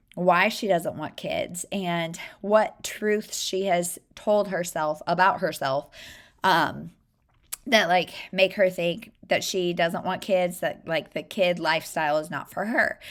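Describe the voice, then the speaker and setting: The pace is very slow. A woman talks at a medium pitch. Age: 30s. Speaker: book vlogger. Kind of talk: casual book review vlog. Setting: upstairs in her room. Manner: casual, many fillers.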